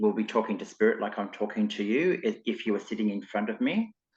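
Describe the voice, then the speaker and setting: Against a quiet background, a man speaks in an Australian accent. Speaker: clairvoyant and spiritual teacher. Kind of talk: interview podcast. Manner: casual, hesitant fillers.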